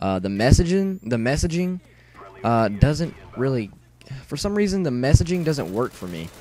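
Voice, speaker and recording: A man's voice with very wide swings in pitch. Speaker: gaming youtuber. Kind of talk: gameplay commentary. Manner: fast; stuttering.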